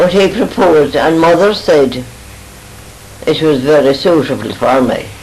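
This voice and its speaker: A woman's very deep, low voice with a western Irish accent, noticeable background noise and audible room echo. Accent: rural west of Ireland. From Ireland, Oughterard, Co. Galway. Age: 80s+. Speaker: elderly mother reminiscing. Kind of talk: family reminiscence.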